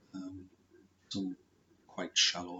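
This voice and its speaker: The man is soft-spoken. He talks at a fairly slow pace. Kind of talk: personal story talk to camera.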